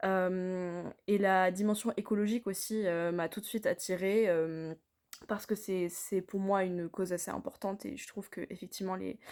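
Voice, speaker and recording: Recorded very cleanly against a silent background, a woman speaks at a medium pitch. Her pace is moderate and her intonation fairly even. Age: 20s. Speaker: customer giving product testimonial. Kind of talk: testimonial. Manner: hesitant, many fillers.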